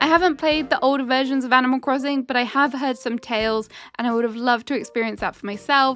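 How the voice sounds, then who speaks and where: Speaking at a very fast pace with a British accent, a woman keeps a high pitch and fairly even intonation. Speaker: gaming YouTuber. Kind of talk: casual review talk to camera.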